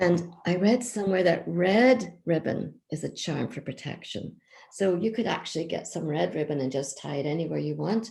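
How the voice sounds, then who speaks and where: A woman with a Northern Irish accent, fairly low in pitch with a dark, mellow tone, at a moderate pace with hardly any pauses. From County Down, Northern Ireland. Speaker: children's author and traditional storyteller. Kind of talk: craft explanation to children.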